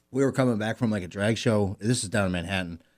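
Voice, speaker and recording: This very clean recording with a silent background features a man with a plain, everyday voice and an American accent. His pitch is fairly low, with ordinary pitch variation. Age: 30s. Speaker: podcast co-host. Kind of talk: casual chat.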